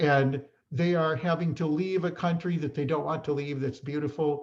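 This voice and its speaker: A man with a fairly high pitch speaks at a moderate pace, somewhat breathy, in a flat, monotone intonation. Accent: American. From Chicago area, US Midwest. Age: 60s. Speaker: respiratory therapist and educator. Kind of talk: conference talk. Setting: online presentation.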